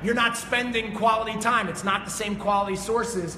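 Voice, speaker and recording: Shouting in a raised, projected voice at a fairly quick pace, a man is heard amid noticeable background noise and audible room echo. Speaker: fitness coach and motivational speaker. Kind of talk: motivational talk. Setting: studio with live audience. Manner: loud, yelling; energetic.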